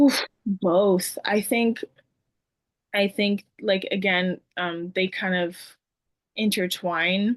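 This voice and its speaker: A woman speaks very slowly at a medium pitch, with long, frequent pauses and fairly even intonation. The sound is dry and close with no echo, over a quiet background. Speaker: former dance student and coaching client. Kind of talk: casual chat. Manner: many fillers and restarts.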